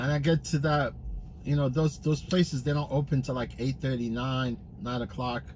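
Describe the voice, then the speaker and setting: Mumbling at a moderate pace, a man speaks somewhat breathily in a fairly high pitch. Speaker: rideshare driver livestreamer. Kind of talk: casual livestream chat while driving. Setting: in a car. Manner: mumbling, halting with repetitions.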